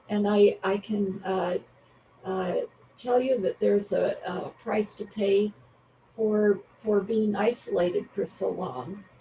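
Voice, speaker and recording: A woman with a medium pitch speaks very slowly, leaving long, frequent pauses. Her intonation stays fairly even, and noticeable background noise can be heard. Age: old. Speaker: public commenter. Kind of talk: public comment. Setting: video call. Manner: halting.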